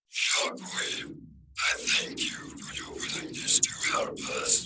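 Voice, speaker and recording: A man uses a put-on character voice that is raspy and extremely high in pitch, speaking at a fairly slow pace. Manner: cold, measured.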